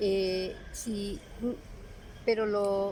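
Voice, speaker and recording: Audible room echo follows a woman as she speaks. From Peru, Lima. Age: 70s. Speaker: retired teacher. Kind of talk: interview.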